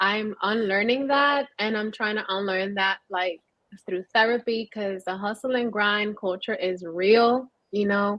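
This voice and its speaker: Fairly slow speech from a woman with a Spanish accent, at medium pitch with fairly even intonation. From New York City. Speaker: panelist. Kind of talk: panel discussion.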